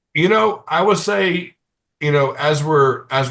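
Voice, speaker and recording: A man speaks with an American accent. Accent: has an. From Appalachian Virginia. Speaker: Special Forces veteran and firearms instructor. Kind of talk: podcast interview. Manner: mumbling; halting with repetitions.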